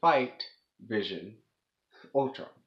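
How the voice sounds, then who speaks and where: The voice belongs to a man. The room adds audible echo. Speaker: video reviewer. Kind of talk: casual plot recap commentary. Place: home room. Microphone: webcam.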